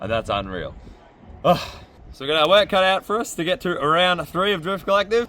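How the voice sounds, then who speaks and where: Long, frequent pauses break up this man's fairly quick, high-pitched speech in an Australian accent. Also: ordinary pitch variation. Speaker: drift driver and vlogger. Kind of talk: casual vlog to camera.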